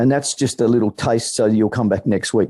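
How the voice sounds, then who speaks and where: An Australian accent marks this man's dark, mellow tone. He talks at a fairly quick pace with fairly even intonation. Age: 60s. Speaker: political campaigner. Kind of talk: meeting speech.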